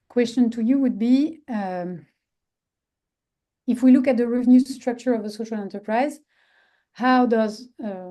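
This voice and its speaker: A dark, mellow voice with a French accent speaks at a moderate pace with ordinary pitch variation over a quiet background. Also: woman. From France. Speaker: social enterprise expert. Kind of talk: webinar presentation. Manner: halting.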